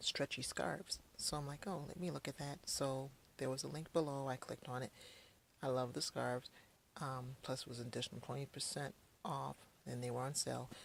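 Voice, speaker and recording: A woman talks at a fairly quick pace. Her pitch is very deep and low. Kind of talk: casual unboxing talk to camera. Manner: quiet, subdued.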